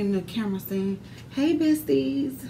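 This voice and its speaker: A woman talks at a very slow pace. Noticeable background noise can be heard. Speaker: beauty vlogger. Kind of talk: casual vlog chat. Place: home room. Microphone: phone near.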